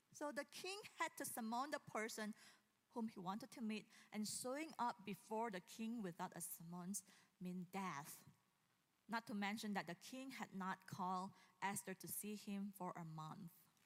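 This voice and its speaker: The voice is somewhat breathy, with lively intonation. The pace is moderate. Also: woman, medium pitch for a woman. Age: 40s. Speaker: pastor. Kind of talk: sermon. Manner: casual, with frequent fillers and laughs.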